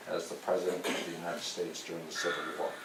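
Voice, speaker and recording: In an American accent, a man talks amid noticeable background noise and audible room echo. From US West Coast, Santa Cruz County, California. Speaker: army general. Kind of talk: lecture. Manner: soft-spoken.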